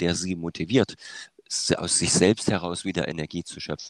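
The recording is spotless, with a silent background and a dry, close sound free of echo. A man talks in a very deep, low register. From eastern Germany, Saxony. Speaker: music educator and conductor. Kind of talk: interview. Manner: hesitant, many filler sounds.

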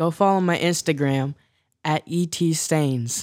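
In a very clean recording with a silent background and a dry, close sound with no echo, a man with an unremarkable speaking voice talks at a fairly high pitch, fairly slowly, with fairly even intonation. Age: young. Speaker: church drummer and musician. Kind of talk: casual chat. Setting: studio.

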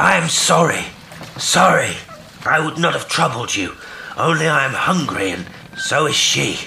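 A man puts on a character voice, fairly high in pitch, bright and sharp in tone, with vocal fry. His intonation is lively, and there is audible room echo. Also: fairly slow pace.

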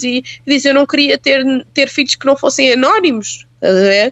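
Fairly quick female speech, high in pitch, ordinary in pitch variation. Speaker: journalist. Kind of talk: casual chat.

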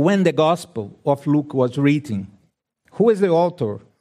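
A man with a Brazilian accent speaks in a dark, mellow tone. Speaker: preacher. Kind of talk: sermon. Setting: church. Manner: halting, non-native English.

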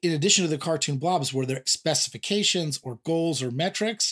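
A fairly high-pitched man with a Californian accent at a fairly quick pace. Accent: Californian American English. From US West Coast, San Diego. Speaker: podcast host. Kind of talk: casual interview. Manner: animated.

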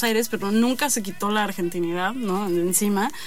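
Fairly quick, fairly high-pitched speech from a woman, with ordinary pitch variation and audible room echo. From Mexico City. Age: 20s. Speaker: poet. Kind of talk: interview.

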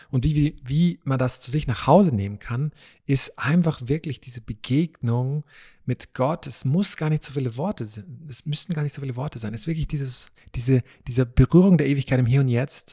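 The delivery is fairly quick and somewhat breathy, with big swings in loudness and ordinary pitch variation, in a dry, close sound with no echo. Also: man. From East Africa (Tanzania, Malawi, Kenya), born in Vienna. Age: 30s. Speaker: preacher. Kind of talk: casual interview. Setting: dining hall at a retreat centre.

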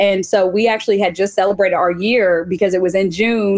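The woman has an unremarkable speaking voice, with a medium pitch, ordinary pitch variation and a moderate pace. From US Midwest (Joplin, Missouri). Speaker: author. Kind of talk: interview.

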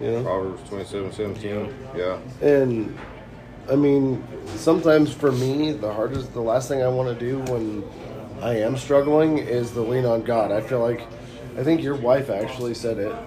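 Noticeable background noise runs behind a man speaking at a medium pitch. He keeps a moderate pace with ordinary pitch variation. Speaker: men's group member. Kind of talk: casual chat. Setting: coffee shop.

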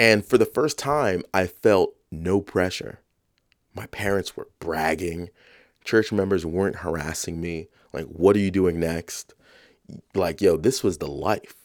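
Recorded very cleanly against a silent background, a man with an American accent speaks at a fairly slow pace in a very deep, low pitch with ordinary pitch variation. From New York, South Bronx. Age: 30s. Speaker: podcast host. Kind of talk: reflective monologue.

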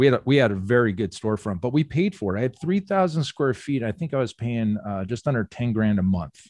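With an American accent and very wide pitch swings, a man talks at a very fast pace with hardly any pauses, in a dry, close sound with no echo and a quiet background. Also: medium pitch for a man. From Phoenix area, Arizona. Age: 40s. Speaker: gym owner and business coach. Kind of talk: casual chat. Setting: remote call.

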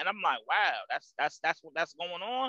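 A man with an American accent speaks in a raised, projected voice with a bright, sharp tone, a fairly quick pace and ordinary pitch variation, in a dry, close sound with no echo. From New Jersey, Jersey City. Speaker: truck driver and owner-operator. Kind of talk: casual interview.

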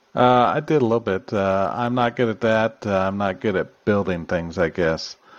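This man has a plain, everyday voice, fairly low in pitch, with ordinary pitch variation. He keeps a moderate pace with hardly any pauses against a quiet background. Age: middle-aged. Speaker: podcast co-host. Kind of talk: casual chat.

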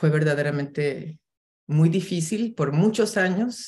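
At a very deep, low pitch, a woman speaks fairly slowly and somewhat breathily. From Mexico City. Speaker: filmmaker and TV producer. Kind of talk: casual interview chat.

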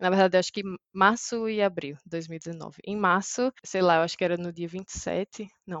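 In an ordinary speaking voice, a woman talks at a moderate pace and medium pitch. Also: fairly even intonation. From Brazil, Maceió, Alagoas. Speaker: software engineer. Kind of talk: interview.

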